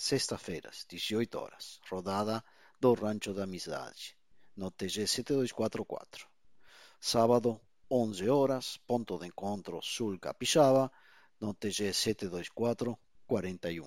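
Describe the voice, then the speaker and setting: A man with a non-native accent speaks very slowly with long, frequent pauses, his fairly low pitch showing ordinary variation on a very clean recording with a silent background. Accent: foreign accent in Portuguese. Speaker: amateur radio net controller. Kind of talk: radio net moderation.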